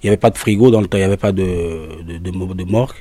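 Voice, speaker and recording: A man with a West African French accent, a dark, mellow tone and a fairly low pitch. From Togo. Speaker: singer and drummer. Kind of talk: interview. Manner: halting, repetitive.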